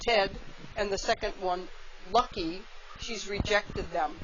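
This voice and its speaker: A woman talks fairly slowly, her pitch varying in an ordinary way, while noticeable noise runs in the background. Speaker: wildlife center naturalist. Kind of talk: live educational talk to visitors.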